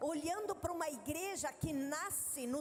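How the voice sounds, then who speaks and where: A woman with a southern Brazilian accent, extremely high-pitched and fairly slow, with audible room echo. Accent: gaúcho (southern Brazilian). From southern Brazil (Rio Grande do Sul, Três de Maio). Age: 50s. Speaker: missionary and women's ministry leader. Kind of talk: sermon. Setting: stage with audience at a women's congress.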